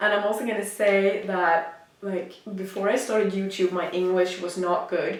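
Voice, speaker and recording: In a Swedish accent, the speaker talks at a moderate pace with audible room echo. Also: woman. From Sweden. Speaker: fitness influencer and app founder. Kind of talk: casual vlog monologue. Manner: halting, many fillers and restarts.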